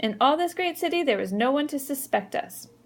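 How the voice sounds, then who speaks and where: A female-sounding, put-on character voice, high in pitch and shaky, moves along at a fairly quick pace. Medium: read story. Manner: quivery.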